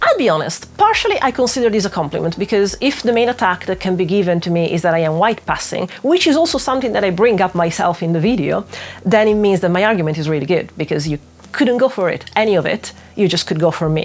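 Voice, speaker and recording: This woman speaks at a very fast pace with a non-native accent. Her intonation is lively. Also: medium pitch for a woman. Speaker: witchcraft YouTuber. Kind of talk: video essay commentary. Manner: tangential, hesitant with fillers.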